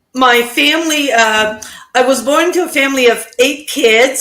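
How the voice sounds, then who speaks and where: With a high, bright, sharp voice, a woman speaks at a very slow pace amid audible room echo. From Prince Edward Island, Canada (Acadian French). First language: French. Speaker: digital business owner. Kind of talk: interview.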